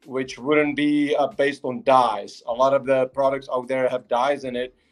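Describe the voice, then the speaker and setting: A man speaks with a Czech accent. His intonation is monotone and flat. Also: medium pitch for a man, moderate pace. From Czech Republic, Prague. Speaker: company founder. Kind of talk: interview on livestream. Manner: halting, many fillers.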